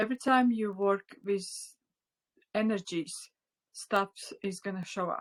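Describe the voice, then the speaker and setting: With a Latvian accent, a woman talks at a fairly slow pace and medium pitch, her intonation fairly even, leaving long, frequent pauses in a dry, close sound with no echo. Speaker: spiritual teacher. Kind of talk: online class. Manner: halting.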